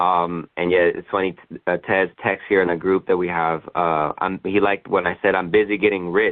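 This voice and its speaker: A man at a very deep, low pitch, with monotone, flat intonation and a moderate pace. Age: 20s. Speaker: insurance sales agent. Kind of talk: conference call Q&A. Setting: conference call.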